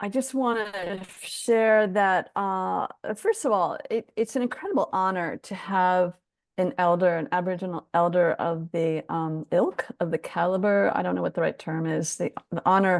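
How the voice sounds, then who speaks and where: A woman speaks in a plain, everyday voice at a medium pitch and a fairly slow pace, with ordinary pitch variation, a quiet background, and a dry, close sound with no echo. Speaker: webinar host, interviewer. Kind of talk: casual webinar hosting.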